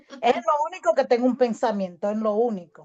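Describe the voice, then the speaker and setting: A woman with an unremarkable speaking voice, fairly high in pitch, with lively intonation and a dry, close sound with no echo. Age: 60s. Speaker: audience participant. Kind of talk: personal testimony.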